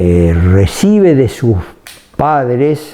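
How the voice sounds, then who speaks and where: A man speaking very slowly amid noticeable background noise. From Argentina, Rafaela area (Santa Fe). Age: 80s+. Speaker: retired dairy company executive. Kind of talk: interview. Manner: halting, many fillers and repetitions.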